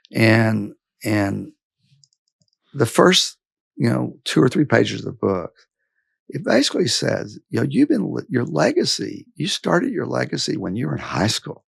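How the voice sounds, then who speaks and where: A Texan accent at a moderate pace, broken by long, frequent pauses. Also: man. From West Texas. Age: 60s. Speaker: business executive. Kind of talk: interview. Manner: halting.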